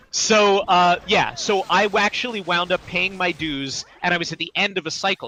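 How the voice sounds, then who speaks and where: Here a man with a high pitch speaks at a moderate pace, using ordinary pitch variation. The audio is dry and close with no echo, though background noise is noticeable. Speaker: voice actor and writer. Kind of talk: casual interview chat.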